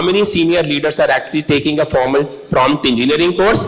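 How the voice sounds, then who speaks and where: A man talks fairly quickly and fairly high in pitch while noticeable background noise carries on. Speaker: corporate executive, panelist. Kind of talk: panel discussion.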